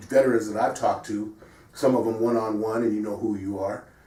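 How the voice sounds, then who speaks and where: Audible room echo surrounds a man speaking at a fairly quick pace with a medium pitch. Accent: American. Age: 60s. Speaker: sports show host. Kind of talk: casual discussion.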